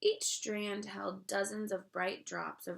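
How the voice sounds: Simply a natural reading voice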